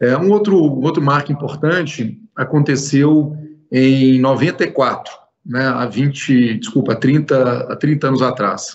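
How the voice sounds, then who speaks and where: Talking at a very slow pace, a man keeps his loudness very even. His pitch is fairly high, with ordinary variation. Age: 40s. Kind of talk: interview.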